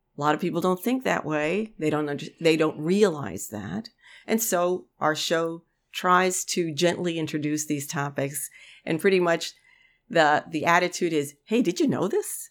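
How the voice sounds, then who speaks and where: In an ordinary speaking voice, a woman talks with lively intonation on a very clean recording with a silent background. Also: fairly low pitch for a woman, moderate pace. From New York City, South Bronx, Puerto Rican community. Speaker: farmer and radio co-host. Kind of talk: casual interview.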